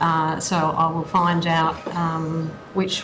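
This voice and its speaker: A woman with a fairly low pitch speaks amid noticeable background noise and audible room echo. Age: 60s. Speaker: aged care worker. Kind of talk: witness testimony.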